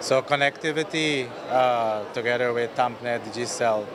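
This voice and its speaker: A man with a Guyanese accent speaks at a fairly slow pace in a medium pitch, with audible room echo and noticeable background noise. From Guyana. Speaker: telecom company executive. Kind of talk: interview. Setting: exhibition booth at a conference.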